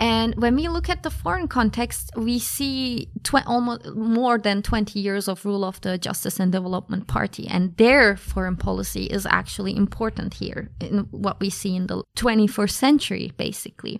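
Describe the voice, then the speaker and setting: A woman speaks with a Turkish accent. Her pace is moderate. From Turkey, Ankara. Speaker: graduate student. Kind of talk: interview.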